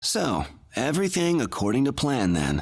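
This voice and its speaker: In a put-on character voice, a man talks at a moderate pace with a raspy, medium-pitched sound, on a very clean recording with a silent background. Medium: video game.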